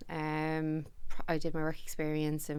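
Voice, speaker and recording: In a Dublin accent, a woman speaks at a very deep, low pitch. The recording is very clean, with a silent background. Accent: Dublin Irish. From Ireland, Dublin (Ballybrack). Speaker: company managing director. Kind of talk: podcast interview. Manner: loud.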